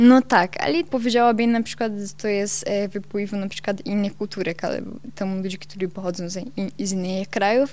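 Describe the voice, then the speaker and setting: Someone with a Brazilian accent talks at a moderate pace with ordinary pitch variation. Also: woman. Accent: Brazilian Portuguese-accented Polish. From southern Brazil, Santa Catarina. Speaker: Brazilian immigrant in Poland. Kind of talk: radio interview. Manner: halting.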